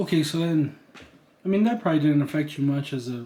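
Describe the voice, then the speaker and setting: A man speaks at a fairly quick pace in a fairly high, somewhat breathy voice. His tone is dark and mellow, with ordinary pitch variation. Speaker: interviewer, partner of the channel owner. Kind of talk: casual interview. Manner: unscripted, conversational.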